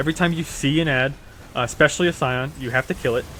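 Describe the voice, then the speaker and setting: A man talking at a very fast pace with fairly even intonation, amid noticeable background noise. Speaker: gaming video creator. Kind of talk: tutorial voiceover. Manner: many filler words.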